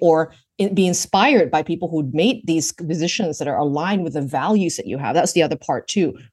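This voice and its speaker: With a Canadian accent, a normal speaking voice moves at a fairly quick pace with lively intonation over a quiet background. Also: woman. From Vancouver, Canada. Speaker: work reinvention strategist. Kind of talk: interview conversation. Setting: remote call.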